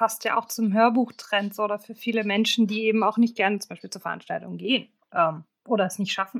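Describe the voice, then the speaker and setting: In an ordinary speaking voice, a woman with a fairly high pitch talks at a fairly quick pace, with big swings in loudness. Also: ordinary pitch variation. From northeastern Germany, Stralsund. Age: 20s. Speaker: master's student. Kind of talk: interview conversation.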